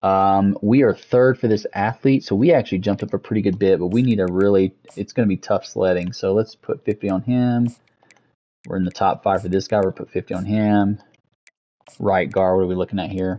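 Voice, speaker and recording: Fairly quick and fairly low in pitch, a man speaks in an unremarkable speaking voice. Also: fairly even intonation. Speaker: gaming streamer. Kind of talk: gameplay commentary.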